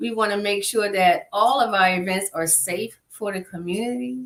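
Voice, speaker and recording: A woman's normal speaking voice, medium in pitch, with lively intonation at a fairly slow pace. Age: 50s. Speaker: nonprofit executive director. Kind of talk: interview.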